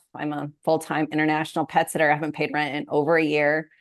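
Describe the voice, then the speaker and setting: A woman with an American accent speaks at a fairly quick pace in a very deep, low pitch, the background quiet. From US Pacific Northwest, Moses Lake, Washington. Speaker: money coach. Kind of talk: interview conversation.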